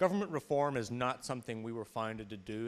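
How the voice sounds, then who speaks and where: A man speaks with an Irish accent. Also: very clean recording, silent background. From Ireland. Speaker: business policy advocate. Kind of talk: panel presentation. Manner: hesitant, repeats words.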